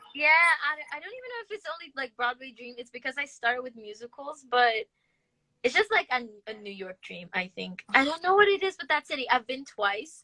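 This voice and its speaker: A woman speaks in a raised, projected voice with high pitch, a bright, sharp tone and a fairly quick pace. Her pitch swings very widely and her loudness in big swings, in a dry, close sound with no echo. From Brazil. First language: Portuguese. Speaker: interviewer, fan. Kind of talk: casual chat.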